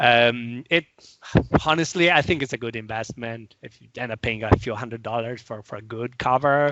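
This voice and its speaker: The speaker is a man with an Italian accent. He keeps to a moderate pace. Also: medium pitch for a man, ordinary pitch variation. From Italy. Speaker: software product manager and tech author. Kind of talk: casual interview chat. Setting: video call. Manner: halting, many repetitions.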